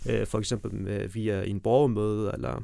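A man's voice with a dark, mellow tone. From Afghanistan, raised in Denmark. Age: 30s. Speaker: mayoral candidate, politician. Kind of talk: interview.

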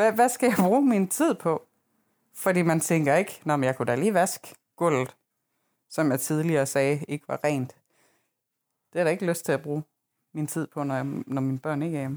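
A woman's very deep, low voice with lively intonation and long, frequent pauses, at a moderate pace, in a very clean, silent recording that is dry and close with no echo. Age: 30s. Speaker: podcast co-host. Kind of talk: casual chat.

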